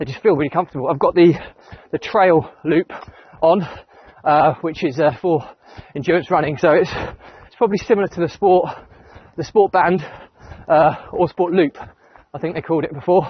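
A man with a high voice speaks at a fairly quick pace, with ordinary pitch variation and big swings in loudness. The sound is dry with no echo, over a quiet background. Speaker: running vlogger. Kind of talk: casual vlog chat. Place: open country. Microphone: lapel.

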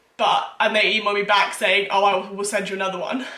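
A woman's voice carries audible room echo. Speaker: baking vlogger. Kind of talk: casual vlog chat. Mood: exasperated, amused storytelling. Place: kitchen. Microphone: camera far.

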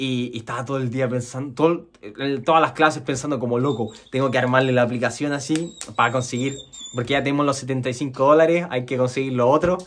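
A man with a Chilean accent speaks at a fairly quick pace, his medium-pitched voice holding a fairly even intonation. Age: 20s. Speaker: programmer and YouTuber; YouTuber. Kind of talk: personal story monologue; casual vlog chat. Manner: casual with many fillers. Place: home room.

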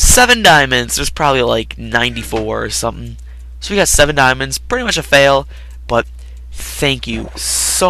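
A reading voice, unforced

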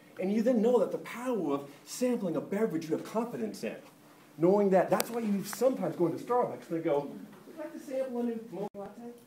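Speech comes at a very fast pace with lively intonation over noticeable background noise. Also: man. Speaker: marketing conference speaker. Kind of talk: conference talk. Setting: stage with audience. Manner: humorous.

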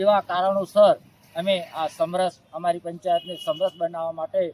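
A high-pitched male voice with a dry, close sound and no echo. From Gujarat, Aravalli district. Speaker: village leader. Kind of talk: interview statement. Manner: halting.

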